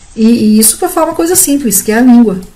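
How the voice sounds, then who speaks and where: A woman is speaking. Her pitch is fairly high. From southern Brazil, Santa Catarina. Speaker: Bible teacher. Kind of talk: Bible commentary. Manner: conversational.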